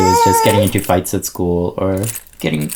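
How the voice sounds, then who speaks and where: Noticeable noise sits in the background. A man talks over it. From India. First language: Indian language, not English. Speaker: zine fest director and teacher. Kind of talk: casual interview chat. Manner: halting, many fillers.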